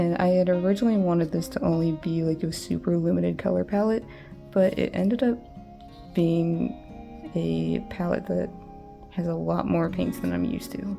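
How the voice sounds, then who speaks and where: Music in the background behind a woman speaking at a moderate pace. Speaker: artist. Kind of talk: casual talk to camera.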